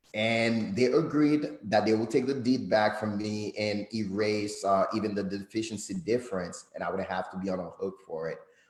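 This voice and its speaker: At a moderate pace, a man with a Haitian accent talks in a fairly low voice with ordinary pitch variation. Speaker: credit consultant. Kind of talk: guest interview.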